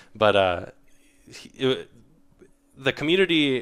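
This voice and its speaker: A man of medium pitch speaks at a moderate pace on a very clean recording with a silent background. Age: 20s. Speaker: podcast host. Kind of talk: casual chat. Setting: live stream with chat.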